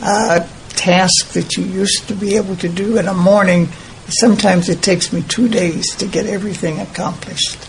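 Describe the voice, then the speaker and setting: Over noticeable background noise, a woman speaks at a fairly quick pace in a medium pitch. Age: 90s. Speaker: interviewee. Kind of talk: interview conversation.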